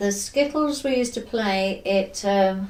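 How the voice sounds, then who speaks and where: Here a woman speaks with a West Country accent. Her pitch is medium and her intonation lively. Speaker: former factory worker. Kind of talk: oral history interview answer.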